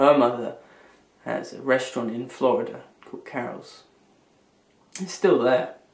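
With audible room echo, a man speaks at a moderate pace with big swings in loudness. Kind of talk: casual vlog chat. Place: home room. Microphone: webcam.

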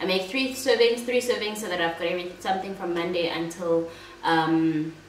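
A woman's voice carries audible room echo and light background noise. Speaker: food vlogger. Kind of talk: casual vlog chat. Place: home room.

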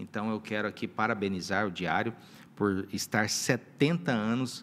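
This man has an ordinary speaking voice. He talks at a fairly slow pace. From northwest Paraná, Brazil. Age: 40s. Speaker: mayor. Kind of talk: interview. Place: studio. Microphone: studio mic.

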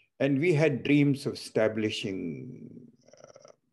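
Against a quiet background, a man talks in a dark, mellow tone. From India. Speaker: transplant surgeon and foundation CEO, moderator. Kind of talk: moderated webinar discussion. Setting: video call. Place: home room. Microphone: video call.

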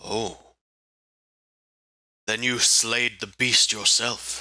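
Using a put-on character voice, a man at medium pitch speaks at a very slow pace. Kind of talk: formal fantasy roleplay. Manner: proud, earnest, formal.

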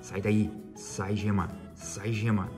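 A man's voice comes through while clear music plays behind him. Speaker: family channel host. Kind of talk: casual tutorial vlog chat. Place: kitchen. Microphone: phone near.

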